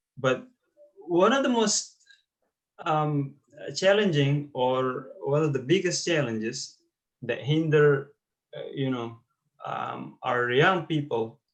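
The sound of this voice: Lively intonation at a slow pace, with audible room echo. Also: man, fairly high pitch for a man.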